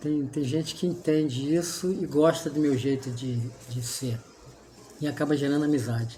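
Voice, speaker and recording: A man's dark, mellow tone, somewhat breathy. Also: fairly high pitch for a man, fairly even intonation, moderate pace. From Rio de Janeiro state, Brazil. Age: 60s. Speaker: environmental engineer and art restorer. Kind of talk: casual chat.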